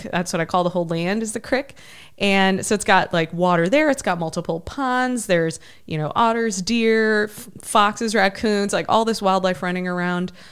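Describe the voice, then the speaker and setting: A plain, everyday voice with an American accent and ordinary pitch variation comes through on a very clean recording with a silent background. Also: woman, medium pitch for a woman, moderate pace. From Ohio, US Midwest. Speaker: army veteran and adventurer. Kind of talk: interview conversation.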